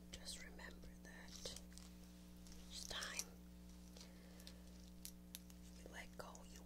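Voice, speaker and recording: A soft-spoken woman with a gentle tone talks at a very slow pace over loud background noise. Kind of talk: casual gentle comforting talk. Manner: soft, gentle ASMR murmur. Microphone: webcam.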